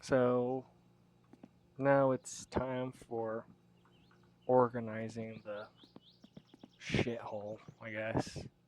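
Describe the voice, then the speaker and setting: The speaker is soft-spoken and moves at a very slow pace. Long pauses come often. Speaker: gaming streamer. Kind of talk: casual gameplay commentary. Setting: at home, late at night. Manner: soft-spoken, quiet. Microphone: audio a little quiet.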